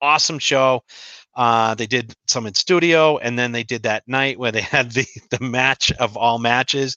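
A man talks at a moderate pace in a medium pitch. His is an unremarkable speaking voice. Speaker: co-host. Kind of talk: casual chat.

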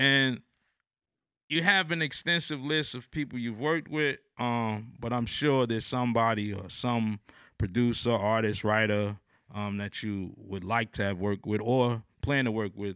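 A man with an American accent, medium pitch, a bright, sharp tone, ordinary pitch variation, and a moderate pace, on a very clean recording with a silent background. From New Jersey. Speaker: podcast host. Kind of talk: interview. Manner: halting, many fillers.

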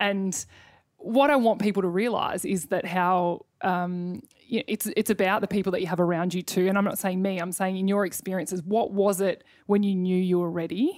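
A woman with an Australian accent, medium pitch, fairly even intonation and a moderate pace, on a very clean recording with a silent background. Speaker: podcast host and former netballer. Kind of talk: casual interview.

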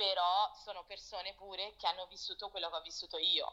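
In a bright, sharp tone, a woman speaks with fairly low pitch and monotone, flat intonation. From Italy and Portugal, moved often, later London. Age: 20s. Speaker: fashion producer. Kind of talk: casual interview chat. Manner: halting.

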